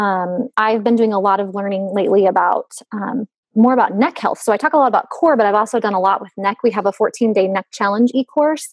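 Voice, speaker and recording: With a Western US accent, a woman speaks in a fairly high voice with ordinary pitch variation, at a fairly quick pace with hardly any pauses. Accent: Western US twang. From US West. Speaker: fitness company founder. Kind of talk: casual chat.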